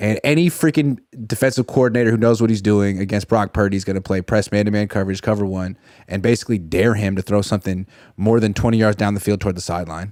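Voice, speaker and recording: An animated, very fast man's voice at a fairly low pitch with ordinary pitch variation, dry and close with no echo, on a very clean recording with a silent background. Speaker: sports journalist. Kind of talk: casual sports talk.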